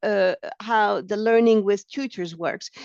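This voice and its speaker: Someone with a French accent speaks at a fairly slow pace in a dry, close sound with no echo. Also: woman. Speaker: training project officer. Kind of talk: software demonstration tutorial. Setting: online webinar. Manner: halting, many fillers.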